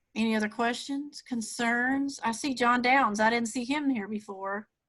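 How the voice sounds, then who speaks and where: In a Southern US accent, a woman with a high pitch speaks with fairly even intonation. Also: moderate pace. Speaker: Rotary club executive director. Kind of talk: webinar presentation. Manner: casual with many fillers.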